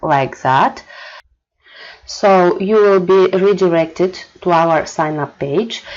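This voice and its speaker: A woman with a non-native accent, medium pitch and ordinary pitch variation. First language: not English. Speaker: marketing manager. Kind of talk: tutorial. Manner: hesitant, many fillers.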